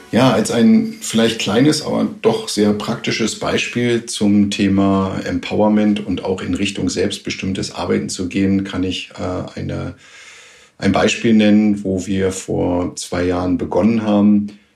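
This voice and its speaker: A man speaks in an ordinary speaking voice, fairly low in pitch. His intonation is fairly even and his pace fairly slow. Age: 50s. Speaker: plant manager. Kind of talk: pre-recorded interview.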